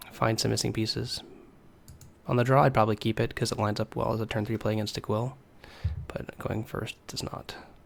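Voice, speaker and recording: The speech comes at a fairly quick pace with long, frequent pauses, vocal fry and monotone, flat intonation. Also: man, fairly low pitch for a man. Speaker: card game streamer and player. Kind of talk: live gameplay commentary. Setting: live stream.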